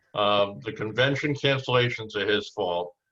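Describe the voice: A man's voice with a bright, sharp tone and lively intonation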